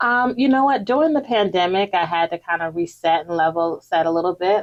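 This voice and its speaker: In a New Jersey accent, a woman speaks at a moderate pace in a fairly low voice with ordinary pitch variation, the sound dry and close with no echo. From Newark, New Jersey. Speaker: youth development leader. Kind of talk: interview.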